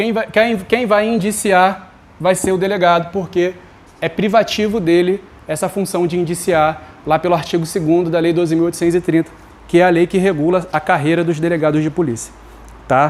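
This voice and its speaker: A high-pitched male voice with ordinary pitch variation over noticeable background noise. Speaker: law teacher for exam prep. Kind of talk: online lecture. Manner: fast; informal, conversational.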